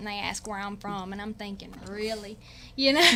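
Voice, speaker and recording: Talking at a fairly quick pace, a woman with an American accent has a fairly high pitch against noticeable background noise. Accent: country twang. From US South, Winfield, Louisiana. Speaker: hunting show pro staffer. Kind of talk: casual chat. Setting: radio studio.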